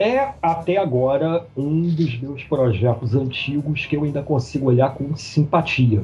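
A man's fairly high voice with ordinary pitch variation and hardly any pauses, against noticeable background noise. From Brazil, Macaé (Rio de Janeiro state). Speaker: comic book artist. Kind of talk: casual interview. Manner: halting, repeats words.

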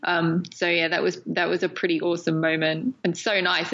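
A woman with an English accent. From England. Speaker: documentary filmmaker. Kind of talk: interview. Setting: remote call.

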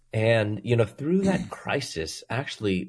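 Somewhat breathy and very slow, the voice moves with lively intonation over a quiet background. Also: man. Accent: American. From US Midwest (Chicago). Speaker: Bible professor. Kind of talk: interview testimony.

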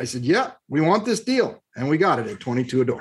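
A man with an American accent and an unremarkable speaking voice talks with lively intonation. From Southern California, Long Beach. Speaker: real estate investment firm CEO. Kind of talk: interview.

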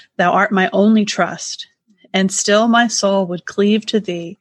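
Speaking fairly slowly, a woman has a somewhat breathy, medium-pitched voice with monotone, flat intonation. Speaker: podcast co-host. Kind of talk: casual chat.

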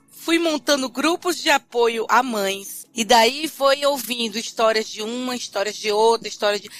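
Music plays behind a woman with a northeastern Brazilian accent, whose high voice shows ordinary pitch variation and big swings in loudness. She talks at a fairly slow pace with hardly any pauses. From Brazil, Fortaleza (Ceará). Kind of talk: interview.

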